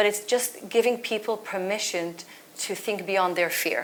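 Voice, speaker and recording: With noticeable background noise, a woman of medium pitch speaks with a non-native accent and fairly even intonation. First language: not English. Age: 40s. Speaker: author and culture consultant. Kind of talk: panel discussion. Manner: halting.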